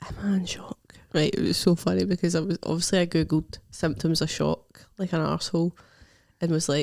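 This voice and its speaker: A woman with a Scottish accent speaks at a fairly quick pace in a fairly low, monotone voice with long, frequent pauses and a dry, close sound with no echo. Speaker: stand-up comedian. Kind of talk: casual podcast chat.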